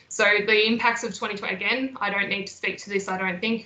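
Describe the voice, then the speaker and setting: A woman speaks at a medium pitch in a monotone, flat intonation. Noticeable background noise sits behind her. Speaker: mental health nurse and educator. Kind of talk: webinar presentation. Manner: fast.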